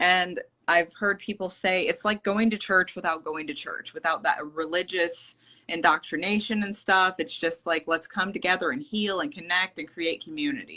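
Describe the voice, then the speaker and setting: A woman's bright, sharp voice at medium pitch, with ordinary pitch variation and a moderate pace. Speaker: spiritual healer. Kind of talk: interview. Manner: hesitant, many fillers; loud. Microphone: quiet, headphones not connecting.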